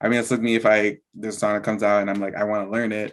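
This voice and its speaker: Very fast speech with monotone, flat intonation. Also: man. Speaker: dancehall artist. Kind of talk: interview. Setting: video call.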